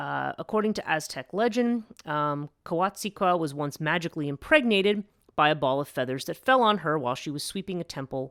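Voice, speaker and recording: This speaker has an American accent and a fairly quick pace. The recording is very clean, with a silent background. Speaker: podcast host. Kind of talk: casual lecture. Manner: hesitant, many fillers.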